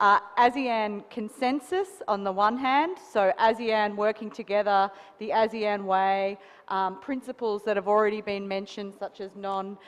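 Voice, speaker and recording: At a fairly slow pace, a woman with an Australian accent speaks at a medium pitch with fairly even intonation. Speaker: associate professor, panelist. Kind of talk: panel discussion.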